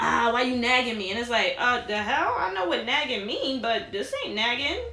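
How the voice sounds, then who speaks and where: Noticeable background noise sits behind a woman with a New York accent speaking in a raised, projected voice. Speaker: podcast host. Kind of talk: casual chat.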